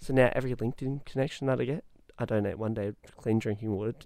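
Speaking very fast with an Australian accent, a man has a dark, mellow tone at medium pitch and fairly even intonation. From Western Australia, Perth. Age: young. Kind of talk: casual interview. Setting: studio.

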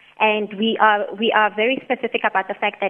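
Someone with a Botswana accent speaks at a fairly quick pace. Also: woman. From South Africa, Mahikeng (North West). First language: Setswana. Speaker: company chief executive. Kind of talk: radio interview. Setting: phone call.

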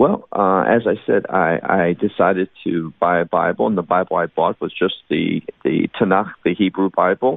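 Speaking with a Chicago accent and hardly any pauses, a man has a very deep, low pitch and ordinary pitch variation. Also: moderate pace. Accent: Chicago American. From US Midwest, Chicago. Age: 50s. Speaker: Bible teacher. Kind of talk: interview.

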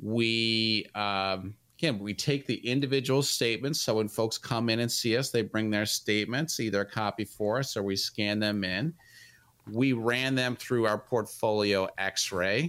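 In a very clean recording with a silent background, a man speaks at medium pitch and a fairly slow pace, in an unremarkable speaking voice with ordinary pitch variation. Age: 50s. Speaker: financial advisor, radio host. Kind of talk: radio financial advice talk. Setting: studio.

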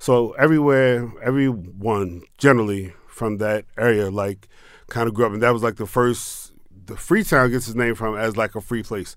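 A man with an American accent uses a normal speaking voice at a medium pitch with ordinary pitch variation. The recording is very clean, with a silent background. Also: moderate pace. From Maryland, Pasadena. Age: 40s. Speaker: tequila entrepreneur and military veteran. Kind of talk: interview. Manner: casual.

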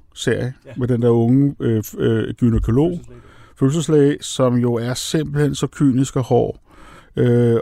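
At a fairly slow pace, a man speaks in a medium pitch with a dark, mellow tone and ordinary pitch variation. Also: very clean recording, silent background. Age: 60s. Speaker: screenwriter. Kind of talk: casual chat. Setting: studio.

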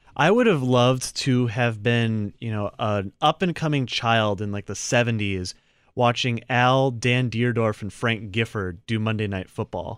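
A man's normal speaking voice at medium pitch, with ordinary pitch variation and a fairly slow pace, in a very clean recording with a silent background. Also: hardly any pauses. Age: 20s. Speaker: sports radio co-host. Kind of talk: sports talk radio chat.

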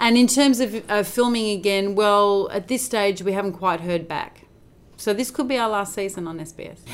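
With an Australian accent, a woman talks at medium pitch. Her pace is moderate. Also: ordinary pitch variation. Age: 40s. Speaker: actor. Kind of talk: casual chat. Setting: on location in Williamstown, Melbourne.

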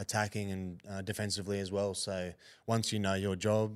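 A man with an Australian accent, very deep and low in pitch, at a fairly quick pace on a very clean recording with a silent background. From Queensland, Australia (Hervey Bay). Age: 20s. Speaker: rugby league player. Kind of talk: casual interview.

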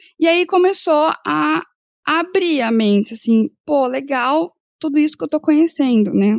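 Very wide pitch swings come through a dry, close sound with no echo. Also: woman. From northern Paraná, Brazil. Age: 30s. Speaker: agribusiness credit analyst, economist. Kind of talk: podcast interview.

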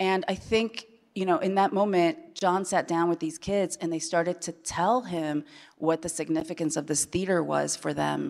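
A woman's normal speaking voice, fairly low in pitch, at a moderate pace with fairly even intonation. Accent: American. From Chile, then Iowa from age 8. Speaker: TV showrunner. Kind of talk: panel discussion. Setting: stage with audience.

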